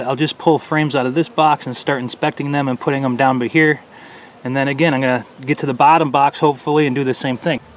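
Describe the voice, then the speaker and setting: Very fast and monotone, a man speaks with flat intonation in a dry sound with no echo. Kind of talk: tutorial. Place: garden. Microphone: phone near.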